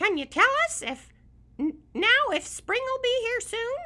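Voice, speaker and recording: A put-on character voice, squeaky and hoarse at an extremely high pitch. It moves at a fairly slow pace. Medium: read story.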